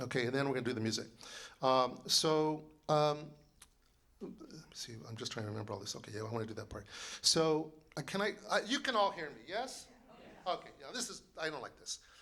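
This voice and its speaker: A man talks at a fairly quick pace with a fairly high pitch, a bright, sharp tone, very wide pitch swings and big swings in loudness, leaving long, frequent pauses. His tone is animated, and audible room echo surrounds him. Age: 60s. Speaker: composer and librettist. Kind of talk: lecture.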